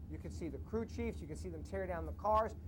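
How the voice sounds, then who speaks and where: Animated and in a New York accent, a man talks with audible room echo. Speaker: TV show host. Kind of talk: TV interview. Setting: outdoors at a racetrack.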